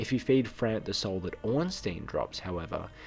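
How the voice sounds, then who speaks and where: A man is speaking. Music plays in the background. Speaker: video game lore creator. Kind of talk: video game lore narration.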